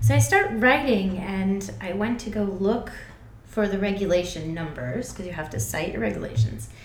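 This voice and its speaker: Speaking at a moderate pace in an American accent, a woman uses a medium pitch with very wide pitch swings. Noticeable background noise and audible room echo fill the recording. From US Northeast, Connecticut. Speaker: graduate student. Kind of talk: casual chat.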